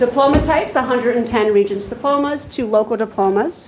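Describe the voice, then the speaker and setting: Noticeable background noise runs behind a woman speaking at a moderate pace. Her pitch is fairly high, with ordinary variation. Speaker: school counselor presenting to board. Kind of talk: formal presentation. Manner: loud.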